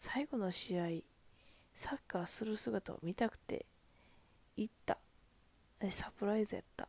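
Speaking in a Kansai accent, a woman sounds animated at a fairly slow pace with long, frequent pauses, the sound dry and close with no echo. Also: ordinary pitch variation. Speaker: podcast host. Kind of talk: casual monologue.

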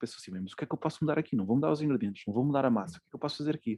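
A man's dark, mellow tone at a very fast pace, in a dry, close sound with no echo. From Portugal, Cascais. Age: 30s. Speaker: chef. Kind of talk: casual interview. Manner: hesitant, many fillers.

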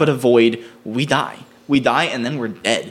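Speaking at a fairly quick pace with an American accent, a man has a medium pitch and a plain, everyday voice. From US East Coast. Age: 20s. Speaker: screenwriter. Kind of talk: casual chat.

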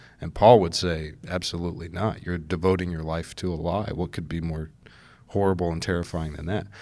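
A man talks with a very deep, low pitch and monotone, flat intonation. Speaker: podcast host and church media editor. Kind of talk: casual long-form interview.

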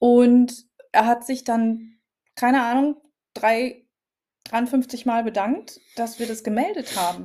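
With long, frequent pauses, a woman speaks at a very slow pace in a high pitch and fairly even intonation. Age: 40s. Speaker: podcast co-host. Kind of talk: casual chat.

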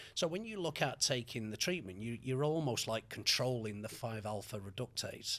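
Lively intonation and hardly any pauses from a man at medium pitch with a Mancunian accent. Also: moderate pace. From Manchester, England. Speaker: hair loss consultant. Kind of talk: podcast interview.

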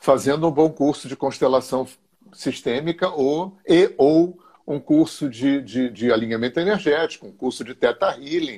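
At a fairly slow pace, a man speaks in an unremarkable speaking voice pitched fairly high. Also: ordinary pitch variation. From Rio de Janeiro, Brazil. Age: 60s. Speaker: therapist and energy alignment teacher. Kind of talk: interview on a live stream.

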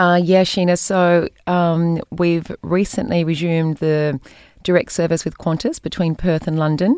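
A woman with an Australian accent speaks at a fairly low pitch with fairly even intonation. The recording is very clean, with a silent background. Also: fairly slow pace. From New South Wales, Australia. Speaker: tourism executive. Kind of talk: interview. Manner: many hesitations (um).

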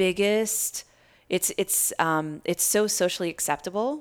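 The speaker has an unremarkable speaking voice and an American accent, talking at a fairly slow pace with ordinary pitch variation. The recording is very clean, with a silent background. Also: woman. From US Midwest, Iowa. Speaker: life coach and yoga teacher. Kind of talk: casual interview. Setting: in person.

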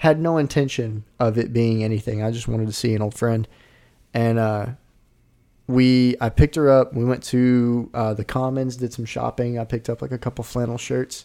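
A man with a Southern US accent speaks at a moderate pace and medium pitch, his dark, mellow tone and fairly even intonation captured on a very clean recording with a silent background. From Arkansas. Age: 20s. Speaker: podcast co-host. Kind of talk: casual chat.

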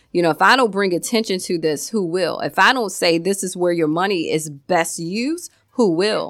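In a plain, everyday voice, a woman of medium pitch talks at a moderate pace with ordinary pitch variation and hardly any pauses. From Virginia. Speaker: nonprofit founder. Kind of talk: radio interview.

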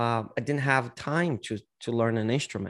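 This man has a Brazilian accent and a medium pitch. He talks at a moderate pace with fairly even intonation. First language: Portuguese. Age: 40s. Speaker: singer-songwriter and martial arts teacher. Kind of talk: casual interview chat. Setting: video call.

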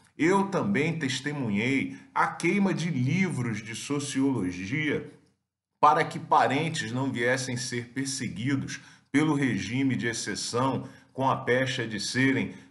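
A man speaks at a very slow pace with medium pitch. His pitch varies in an ordinary way, and the room echo is audible. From Brazil. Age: 50s. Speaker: academic commentator. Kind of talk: video commentary.

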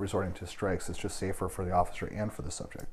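With an Upper Midwest US accent, a man speaks in a fairly low, somewhat breathy voice with fairly even intonation. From Wisconsin, Milwaukee. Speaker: martial arts instructor. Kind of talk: casual interview chat. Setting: studio.

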